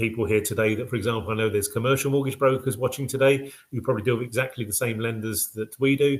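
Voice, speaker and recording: A man with a British accent speaks at a very fast pace and a medium pitch, his voice somewhat breathy and his intonation fairly even. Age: 60s. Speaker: mortgage packager company director. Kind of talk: business web show presentation. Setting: live web show with slides. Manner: casual, hesitant with fillers.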